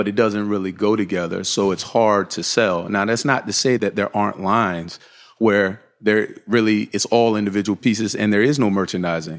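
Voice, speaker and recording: A man's unremarkable speaking voice with an American accent, fairly low pitch, fairly even intonation and moderate pace, on a very clean recording with a silent background. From Virginia Beach, US. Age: 40s. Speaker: fashion company co-founder. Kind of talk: interview. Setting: on location at company headquarters.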